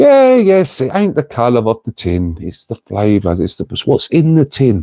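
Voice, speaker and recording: The sound is dry and close, with no echo and a quiet background. A man speaks in a dark, mellow tone. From North London, England (Tottenham). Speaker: live streamer. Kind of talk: casual live-stream chat. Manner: animated.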